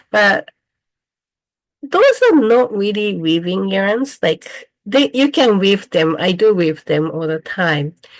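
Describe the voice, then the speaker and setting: Against a quiet background, a woman speaks in a Japanese accent with lively intonation. Her pace is very slow. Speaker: weaver and dyer, craft teacher. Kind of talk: online presentation. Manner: halting.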